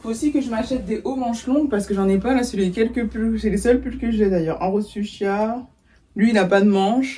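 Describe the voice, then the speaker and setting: Somewhat breathy with a dark, mellow tone, a woman speaks at a fairly high pitch and fairly quick pace with ordinary pitch variation. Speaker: lifestyle vlogger. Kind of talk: casual vlog talk to camera. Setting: at home in her bedroom.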